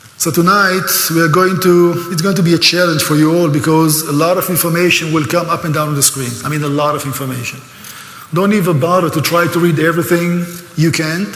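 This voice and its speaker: With an Israeli accent and a high pitch, a man talks at a fairly quick pace amid audible room echo and noticeable background noise. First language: Hebrew. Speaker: speaker on Israel, tour guide. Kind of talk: lecture. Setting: church, stage with audience. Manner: animated.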